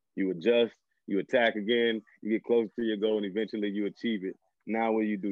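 Speaking at a fairly quick pace, a man with a fairly low pitch talks in a Southern US accent. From northern Louisiana. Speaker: high school football coach. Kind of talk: casual interview.

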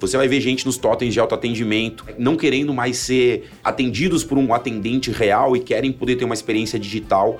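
A man talks at a fairly quick pace with hardly any pauses, in a plain, everyday voice with fairly even intonation and very even loudness. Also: medium pitch for a man. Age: 40s. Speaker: marketing executive. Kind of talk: casual chat.

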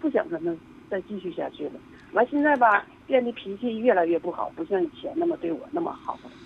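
Fairly high in pitch, a woman talks at a fairly quick pace with very wide pitch swings. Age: 50s. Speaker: caller. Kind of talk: call-in advice talk. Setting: phone call. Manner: halting.

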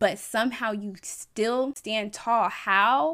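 In a very clean recording with a silent background, a woman uses an ordinary speaking voice at a medium pitch with ordinary pitch variation. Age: 20s. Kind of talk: solo faith podcast monologue shifting into impassioned sermon-style exhortation. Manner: casual, bubbly and chatty; rising preacher cadence with rhythmic repetition.

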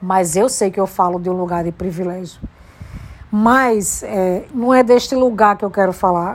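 At a fairly slow pace, a woman talks in an animated tone at a medium pitch with ordinary pitch variation. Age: 40s. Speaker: podcaster. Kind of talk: personal monologue.

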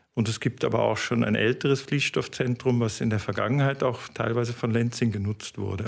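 This man's voice sits at a medium pitch with vocal fry and fairly even intonation, on a very clean recording with a silent background. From Germany, Cologne. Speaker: fibre industry business development manager. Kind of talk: interview. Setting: on campus at a research institute.

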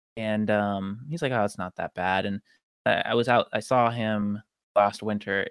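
With a Pacific Northwest accent, a man speaks at a moderate pace in a fairly low voice with ordinary pitch variation. The recording is very clean with a silent background, and the sound is dry and close with no echo. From US Pacific Northwest (Tacoma, Washington). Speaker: professional runner. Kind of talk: casual chat.

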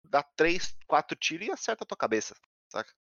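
A man with a fairly high pitch has a plain, everyday voice. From São Paulo, Brazil. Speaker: game streamer. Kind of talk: casual chat.

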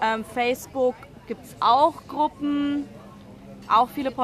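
A woman talks with crowd noise in the background. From Munich, Bavaria. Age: 20s. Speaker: author and blogger. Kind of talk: interview. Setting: café.

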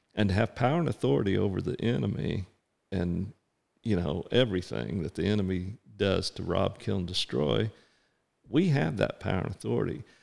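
Vocal fry and lively intonation from a man with a very deep, low pitch, talking at a fairly quick pace. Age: 60s. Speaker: pastor. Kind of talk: casual chat.

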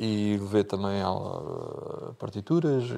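Using a plain, everyday voice, a man speaks at medium pitch with ordinary pitch variation. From Portugal, Algarve (Bordeira). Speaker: accordionist. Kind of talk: interview.

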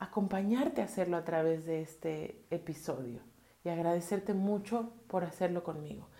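A woman's medium-pitched voice, dark and mellow with a calm tone, amid audible room echo. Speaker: podcast host and therapist. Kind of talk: solo podcast talk. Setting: home bathroom.

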